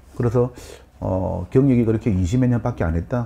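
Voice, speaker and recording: A man with a strong Gyeongsang accent speaks in a dark, mellow, medium-pitched voice with lively intonation. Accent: thick Gyeongsang dialect. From Busan, Yeongnam (southeastern Korea). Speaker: real estate consultant and lecturer. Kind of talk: lecture.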